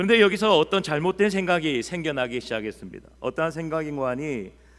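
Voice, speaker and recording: The speaker talks in a strong Busan accent. The intonation is lively. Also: man. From Busan, South Korea. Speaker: pastor. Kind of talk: sermon. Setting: church.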